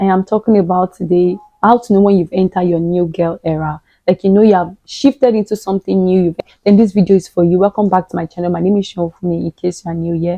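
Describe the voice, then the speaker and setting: At a very fast pace, a woman speaks at medium pitch with fairly even intonation. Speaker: lifestyle and faith vlogger. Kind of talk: motivational vlog talk.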